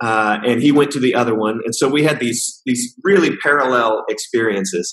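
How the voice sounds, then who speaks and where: Speaking at a moderate pace with ordinary pitch variation, a man with an American accent has a medium-pitched voice. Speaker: trainer and coach living in China. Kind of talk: casual interview chat. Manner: hesitant, filler-heavy.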